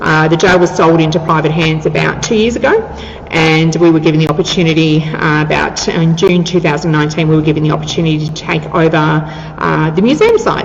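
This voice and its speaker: An enthusiastic woman with an Australian accent, a very deep, low pitch, and a very fast pace, amid audible room echo and noticeable background noise. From Australia, Victoria (Ocean Grove near Geelong). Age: 50s. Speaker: museum manager and tour guide. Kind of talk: interview. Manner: talkative, enthusiastic.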